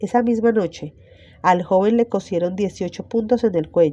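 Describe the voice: A woman speaks at a moderate pace with a dark, mellow tone. Her pitch varies in an ordinary way.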